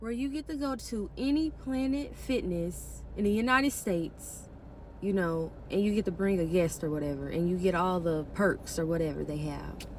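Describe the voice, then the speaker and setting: A woman speaks in an animated tone at a moderate pace. Room echo is audible around her. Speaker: vlogger. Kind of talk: personal vlog storytelling.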